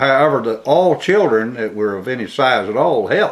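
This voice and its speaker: A man with an Alabama accent speaks at a moderate pace with lively intonation. Noticeable background noise can be heard. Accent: US Southern (Alabama). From Alabama, Birmingham. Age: 70s. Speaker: oral history interviewee. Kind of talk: oral history interview. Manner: halting, many fillers.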